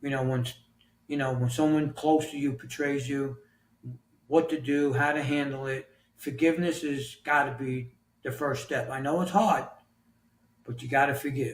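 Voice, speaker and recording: Somewhat breathy and fairly high in pitch, a man speaks with fairly even intonation and long, frequent pauses. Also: moderate pace. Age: 60s. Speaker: author and health coach. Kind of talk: podcast interview answer.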